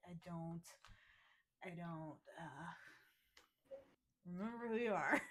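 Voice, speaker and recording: Putting on a character voice, a woman mumbles at a fairly low pitch and a fairly slow pace. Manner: mumbling.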